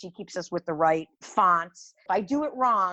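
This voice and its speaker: In an American accent, a woman speaks at a moderate pace and medium pitch with an animated tone. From US Midwest, Cleveland Ohio. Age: 60s. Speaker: small business founder. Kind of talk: interview conversation.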